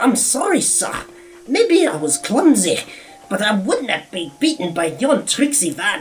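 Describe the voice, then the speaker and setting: A put-on character voice sits at a fairly high pitch. It moves at a moderate pace and swings very widely in pitch. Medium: read story.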